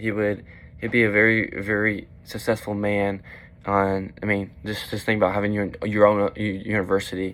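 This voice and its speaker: A man's fairly low voice at a moderate pace, in a monotone with flat intonation. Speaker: student presenter. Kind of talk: class video presentation. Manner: halting, many fillers.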